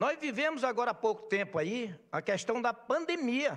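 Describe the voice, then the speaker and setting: With an extremely high pitch, a man speaks at a moderate pace with lively intonation. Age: 60s. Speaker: market vendor representative. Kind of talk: speech at legislative session. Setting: legislative assembly plenary. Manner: impassioned.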